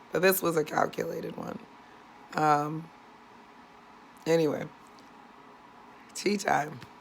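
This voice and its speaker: A woman's very deep, low-pitched voice with fairly even intonation and an American accent. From San Diego, California. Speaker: vlogger. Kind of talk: casual vlog. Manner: chatty, rambling with fillers.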